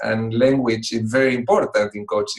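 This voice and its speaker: In a strong Spanish accent, a man speaks at a moderate pace with a medium pitch. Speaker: executive coach. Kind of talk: talk to online club. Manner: hesitant with fillers.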